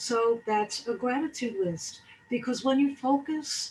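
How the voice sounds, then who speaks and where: A somewhat breathy woman speaks with ordinary pitch variation. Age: 60s. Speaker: wellness speaker. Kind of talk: motivational talk.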